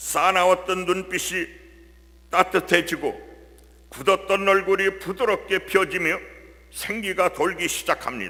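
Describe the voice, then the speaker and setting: In a raised, projected voice pitched high, a man speaks very slowly with fairly even intonation and long, frequent pauses. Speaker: church deacon. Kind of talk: testimony.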